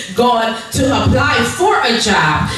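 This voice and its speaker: In a room with strong echo, a woman speaks high with lively intonation. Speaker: preacher. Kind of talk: sermon. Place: church.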